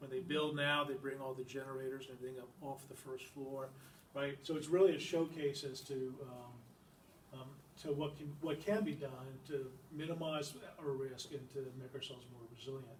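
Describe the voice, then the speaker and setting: A man's somewhat breathy, fairly high-pitched voice at a moderate pace, with fairly even intonation, big swings in loudness and audible room echo. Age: 60s. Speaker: environmental nonprofit director. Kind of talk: public lecture. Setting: library talk with audience. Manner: halting, many fillers.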